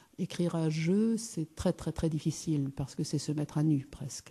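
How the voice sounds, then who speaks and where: A woman's very deep, low voice with a dark, mellow tone, somewhat breathy, with ordinary pitch variation at a fairly slow pace against a quiet background. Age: 60s. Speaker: businesswoman and speaker. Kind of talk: conference talk. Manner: hesitant, many fillers.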